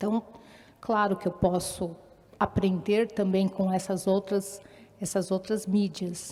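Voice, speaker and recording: A woman with a medium pitch. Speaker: orientation and mobility teacher. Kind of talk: talk at a live event. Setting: stage with audience, microphone. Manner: loud.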